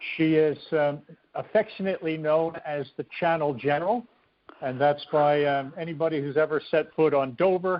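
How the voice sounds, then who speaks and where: A plain, everyday voice at a moderate pace. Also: man. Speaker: chairperson of a swimming hall of fame. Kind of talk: talk show host.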